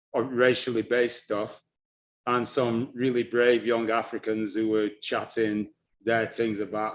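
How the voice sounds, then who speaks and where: Quiet background, a man with a Lancashire accent at a medium pitch. He speaks at a fairly slow pace in a monotone, flat intonation. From northern England (Blackburn, Lancashire). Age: 60s. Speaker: African history presenter. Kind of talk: interview conversation. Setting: live stream.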